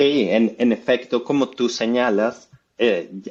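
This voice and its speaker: A man's medium-pitched voice with a Colombian accent and fairly even intonation. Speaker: economics professor. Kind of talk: interview.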